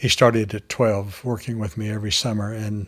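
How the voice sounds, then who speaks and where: Very clean recording with a silent background of a man speaking at fairly low pitch, somewhat breathy, with fairly even intonation at a moderate pace. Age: 70s. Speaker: farmer and author. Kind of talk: interview testimony.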